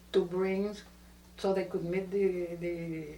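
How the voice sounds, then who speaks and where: A woman speaks at a medium pitch with a Spanish accent. Her pace is fairly slow, and room echo is audible. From Puerto Rico (Cayey). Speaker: family elder interviewee. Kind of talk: oral history interview. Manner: halting.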